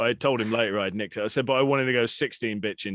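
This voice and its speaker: A man with a British accent talks at a very fast pace. His pitch is fairly low, with fairly even intonation. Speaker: podcast host. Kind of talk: casual chat.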